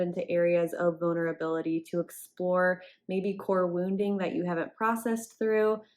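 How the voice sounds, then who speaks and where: The voice is soft-spoken, at a moderate pace. Its pitch variation is ordinary. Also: woman. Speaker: relationship coach. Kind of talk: tutorial.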